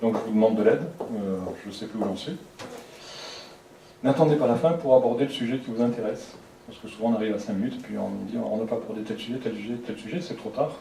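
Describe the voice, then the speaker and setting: Soft-spoken and delivered at a very fast pace, the speech has big swings in loudness, long, frequent pauses and ordinary pitch variation, with audible room echo and noticeable background noise. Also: man, medium pitch for a man. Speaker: lecturer. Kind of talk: lecture.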